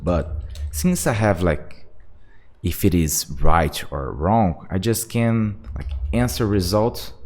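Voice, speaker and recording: With vocal fry and a very deep, low pitch, a man speaks very slowly in a non-native accent, his intonation lively. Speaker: software developer. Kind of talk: tutorial. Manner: halting; casual.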